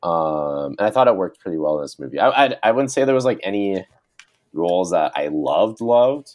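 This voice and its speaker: With a Canadian accent, a man talks at a moderate pace. His fairly low voice makes very wide pitch swings. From Canada. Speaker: podcast co-host, film reviewer. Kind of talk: casual chat.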